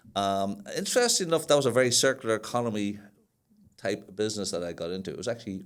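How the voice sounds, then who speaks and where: A man with a Northern Irish accent talks at a very fast pace and a fairly low pitch. His intonation is lively, and his loudness swings widely. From Northern Ireland. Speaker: sustainability manager. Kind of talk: podcast interview. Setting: studio.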